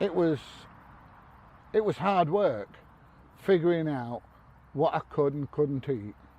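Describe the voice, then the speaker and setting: With long, frequent pauses, a man talks at a fairly slow pace in a fairly high voice with a dark, mellow tone and lively intonation. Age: 60s. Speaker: army veteran. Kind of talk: casual talk to camera.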